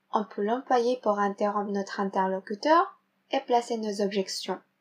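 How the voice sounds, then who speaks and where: Fairly slow speech from a woman, very cleanly recorded against a silent background. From Philippines. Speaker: French learner. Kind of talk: reading a vocabulary segment.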